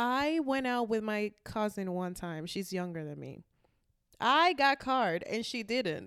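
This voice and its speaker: With an animated tone and very wide pitch swings, a woman speaks at a fairly high pitch and a fairly slow pace in a very clean recording with a silent background. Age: 20s. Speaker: podcast co-host. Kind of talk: casual chat.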